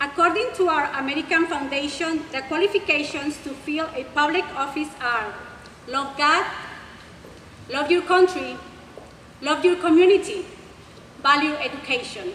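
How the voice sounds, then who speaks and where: With long, frequent pauses, a high-pitched woman speaks over noticeable background noise. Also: ordinary pitch variation, moderate pace. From Mexico. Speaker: school board candidate. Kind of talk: prepared candidate speech. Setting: public forum with audience.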